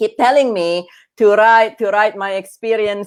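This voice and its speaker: A woman speaks with an Indonesian accent. The background is quiet. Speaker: grief coach and author, former oncologist. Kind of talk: interview. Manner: halting, many fillers and restarts.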